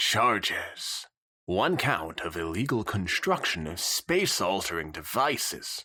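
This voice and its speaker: In a put-on character voice, a man speaks fairly slowly and fairly low, on a very clean recording with a silent background. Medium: read story. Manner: stern yet jaded, routine.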